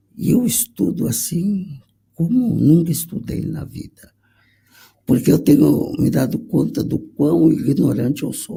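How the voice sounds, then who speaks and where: This man talks at a fairly slow pace with a fairly high pitch, a dark, mellow tone, vocal fry, very wide pitch swings and big swings in loudness. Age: 60s. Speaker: conductor. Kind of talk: panel discussion.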